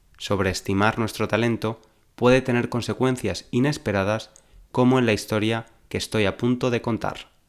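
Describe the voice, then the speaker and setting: This is an ordinary speaking voice from a man at a medium pitch, with fairly even intonation. The recording is very clean, with a silent background. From Valencia, Spain. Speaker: Spanish teacher, podcaster. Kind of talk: storytelling, reading a fable aloud; language-learning podcast for intermediate learners. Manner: slow, clear enunciation.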